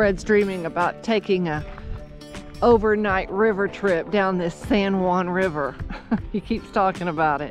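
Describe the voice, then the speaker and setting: A woman at a fairly slow pace, dry sound with no echo, clear music in the background. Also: ordinary pitch variation. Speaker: travel vlogger. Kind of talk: casual vlog chat. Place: open country. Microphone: phone near.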